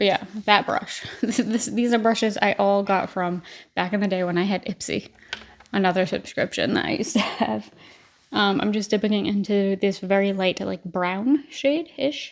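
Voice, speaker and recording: At a moderate pace, a woman speaks at a medium pitch with ordinary pitch variation in an unremarkable speaking voice. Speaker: beauty vlogger. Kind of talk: casual chat while doing makeup tutorial. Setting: at home.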